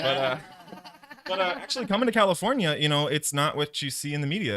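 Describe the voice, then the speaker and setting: Speaking fairly quickly with lively intonation, a man with a Canadian accent has an unremarkable speaking voice. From Canada. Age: young. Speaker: podcast guest. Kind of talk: casual chat. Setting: live stream.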